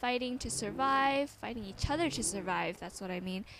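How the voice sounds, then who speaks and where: A woman's fairly high voice with lively intonation amid noticeable background noise. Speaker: gaming commentator. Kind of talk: casual Q&A over gameplay. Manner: animated.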